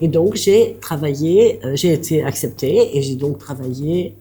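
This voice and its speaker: A woman speaks very slowly in a very deep, low pitch, her dark, mellow tone somewhat breathy. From southern France, Aveyron. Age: 70s. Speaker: bistro owner, former social worker. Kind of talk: interview.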